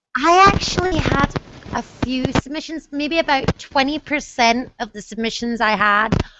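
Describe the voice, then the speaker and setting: Scottish accent on a woman's high-pitched voice, with ordinary pitch variation and a fairly slow pace. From Scotland. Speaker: book mentor. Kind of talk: casual chat. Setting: video call. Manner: animated.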